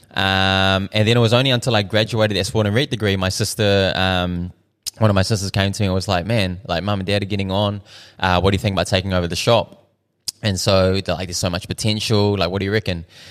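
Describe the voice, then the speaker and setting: A man with a New Zealand accent talks at a very fast pace. His pitch is fairly low, and his intonation fairly even. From New Zealand, South Auckland. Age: 30s. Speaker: restaurant owner. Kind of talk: casual chat. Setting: in his restaurant.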